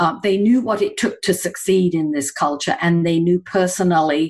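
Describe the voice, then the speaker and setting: Over a quiet background, a woman with an English accent speaks at a fairly slow pace, her fairly low pitch showing ordinary variation. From England. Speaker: executive coach. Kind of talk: interview conversation.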